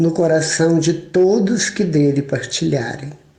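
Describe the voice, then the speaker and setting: Fairly even intonation at a very slow pace, with audible room echo. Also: man. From Minas Gerais, Brazil. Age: 60s. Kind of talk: sermon.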